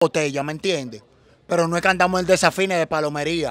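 A man's high-pitched voice at a fairly quick pace, fairly even in intonation, with a dry, close sound and no echo. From Dominican Republic, Los Mina (Santo Domingo Este). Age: 20s. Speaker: social media personality. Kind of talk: casual interview.

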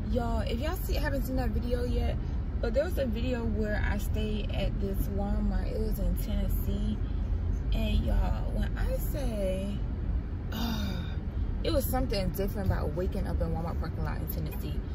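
A woman's voice at a moderate pace, dry with no echo, over loud background noise. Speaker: vlogger living in her car. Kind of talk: casual vlog chat. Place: car. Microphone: phone near.

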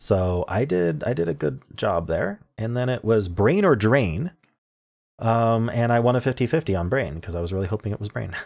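A man's fairly low voice with lively intonation at a moderate pace against a quiet background. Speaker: puzzle video creator. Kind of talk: casual commentary. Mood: cheerful, pleased. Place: home room.

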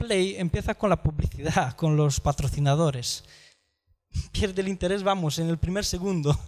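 Speaking with ordinary pitch variation, a man uses a high voice. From outside Spain. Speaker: podcast platform entrepreneur; conference speaker. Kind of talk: conference talk; talk to an audience. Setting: stage with audience. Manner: halting. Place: hall. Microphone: handheld.

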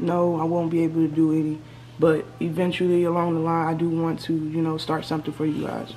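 A woman's fairly low, flat, monotone voice at a fairly quick pace, with music in the background. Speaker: YouTuber. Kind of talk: casual Q&A vlog chat. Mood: subdued, reflective. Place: home room. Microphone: webcam.

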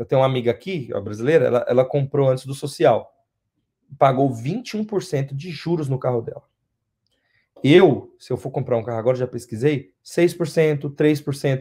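Dark, mellow tone, somewhat breathy, at a moderate pace with ordinary pitch variation over a quiet background. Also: man, fairly high pitch for a man. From Brazil, São Paulo city. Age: 20s. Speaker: interviewee, Brazilian immigrant; interviewee. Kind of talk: interview. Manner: halting, repeats words. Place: home room. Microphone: video call.

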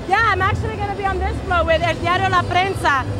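A woman speaks in a dry recording with no echo. Clear music plays behind her. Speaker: interviewee. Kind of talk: interview answer. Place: street. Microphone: handheld.

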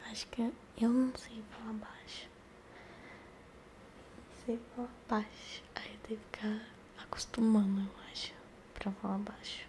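Over light background noise, a woman talks at a fairly slow pace with long, frequent pauses and big swings in loudness. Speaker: ASMR streamer. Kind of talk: casual ASMR chat. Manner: soft whispered ASMR talk close to mic. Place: home room. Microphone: studio mic.

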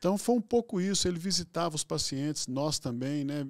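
His delivery is very fast. Behind this man, everything stays quiet. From Minas Gerais, Brazil. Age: 60s. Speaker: physician and hospital executive; guest. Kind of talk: interview conversation. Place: studio. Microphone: studio mic.

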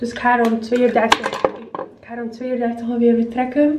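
The clip carries light background noise along with audible room echo. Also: woman. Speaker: vlogger. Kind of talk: casual vlog chat. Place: bathroom. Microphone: phone near.

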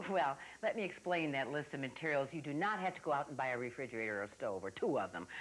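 Very wide pitch swings at a fairly quick pace. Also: woman. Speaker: TV craft show host. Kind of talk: tutorial. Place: studio. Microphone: lapel.

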